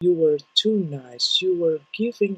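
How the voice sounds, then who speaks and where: A very slow delivery in a non-native accent. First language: not English. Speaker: tarot reader. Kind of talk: tarot reading. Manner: halting.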